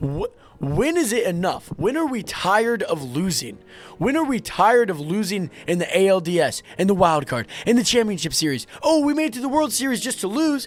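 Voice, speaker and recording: Over music in the background, a loud man with a high pitch swings his voice very widely at a moderate pace. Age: 20s. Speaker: sports vlogger. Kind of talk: sports rant. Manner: animated.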